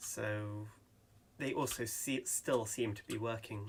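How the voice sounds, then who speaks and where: This man talks at a very slow pace. His intonation stays monotone and flat. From England. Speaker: gaming YouTuber. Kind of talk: gameplay commentary. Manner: hesitant, many ums.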